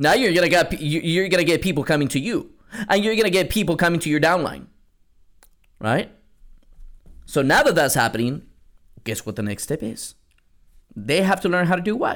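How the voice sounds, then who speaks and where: An animated man's high-pitched voice at a fairly quick pace, with lively intonation and long, frequent pauses, on a very clean recording with a silent background. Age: 30s. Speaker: network marketing coach and podcast host. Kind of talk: solo podcast monologue.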